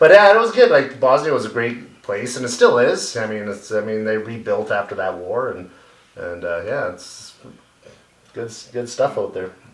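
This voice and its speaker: Big swings in loudness, a moderate pace and a Canadian accent, with noticeable background noise. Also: man. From Canada, Yellowknife (Northwest Territories). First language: Bosnian. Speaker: youth hockey coach. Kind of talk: casual chat.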